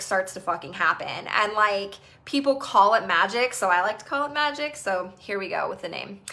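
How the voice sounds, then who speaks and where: A woman speaks in an animated tone with lively intonation at a moderate pace. Background noise is noticeable. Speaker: EFT tapping coach. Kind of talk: live group session talk.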